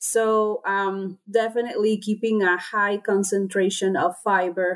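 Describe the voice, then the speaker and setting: In a Spanish accent, a woman of medium pitch talks with monotone, flat intonation. The recording is very clean, with a silent background. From Honduras. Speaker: swine nutritionist. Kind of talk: interview. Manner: hesitant with many fillers.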